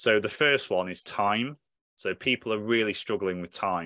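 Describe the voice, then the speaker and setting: With a British accent, a man speaks at a moderate pace in a fairly low pitch, with a dry, close sound with no echo and a quiet background. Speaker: podcast host and military veteran. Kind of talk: casual panel conversation. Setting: video call.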